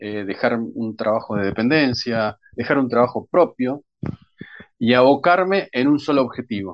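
A man with an unremarkable speaking voice talks at a fairly slow pace. His pitch sits in the medium range, with lively intonation. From Argentina, Bahía Blanca. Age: 40s. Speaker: crime novelist. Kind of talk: interview.

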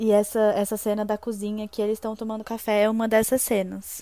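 A woman with a fairly high pitch and a dark, mellow tone speaks at a moderate pace. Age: 20s. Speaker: podcast co-host. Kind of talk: casual chat.

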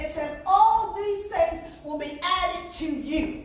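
The speaker has an animated tone, a fairly slow pace and ordinary pitch variation. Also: woman. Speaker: preacher. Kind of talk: sermon, preacher in full flow, call-and-response with congregation. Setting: church with congregation. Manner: animated, emphatic, repeating phrases for punch, urgent exhortation; rhythmic, call-and-response with 'Amen?' and 'Come on now'.

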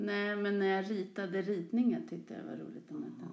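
A woman speaks in a monotone, flat intonation. The room echo is audible. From Stockholm area, Sollentuna. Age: 40s. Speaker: teacher. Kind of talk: interview.

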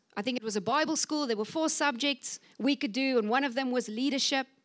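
A woman with a high-pitched voice sounds animated and excited, her pitch varying in an ordinary way. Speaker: pastor. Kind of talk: sermon. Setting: church. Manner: animated, excited.

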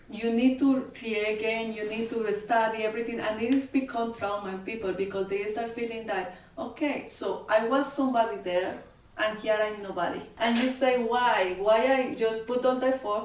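The voice comes at a moderate pace, with audible room echo and noticeable background noise. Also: woman, fairly high pitch for a woman, fairly even intonation. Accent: Spanish. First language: Spanish. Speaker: podcast co-host. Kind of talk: casual chat.

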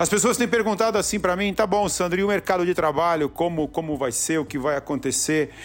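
A man at a fairly quick pace, animated in tone, with ordinary pitch variation and music in the background. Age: 40s. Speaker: entrepreneur and podcast host. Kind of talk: motivational monologue. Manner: repetitive, halting.

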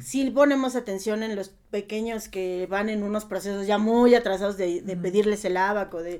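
A woman with a plain, everyday voice speaks at a fairly quick pace with ordinary pitch variation. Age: 30s. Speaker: primary school teacher. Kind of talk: casual interview.

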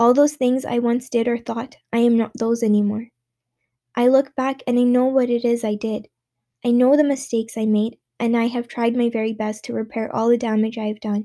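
Her intonation monotone and flat, a woman speaks with a dark, mellow tone at a fairly high pitch. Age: 20s. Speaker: personal essayist sharing mental health experience. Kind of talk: personal reflective monologue.

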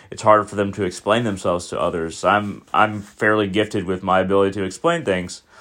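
At a moderate pace, a man speaks in a fairly low pitch with monotone, flat intonation. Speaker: podcast host. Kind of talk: solo monologue. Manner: rambling, hesitant.

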